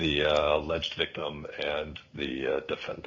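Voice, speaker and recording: Noticeable background noise fills the recording. Through it, a man talks with an American accent. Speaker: defense attorney. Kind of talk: court hearing. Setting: remote court appearance. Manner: halting.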